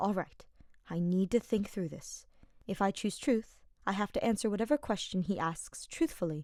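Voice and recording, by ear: The voice reads aloud naturally, its pitch rising and falling in an ordinary way.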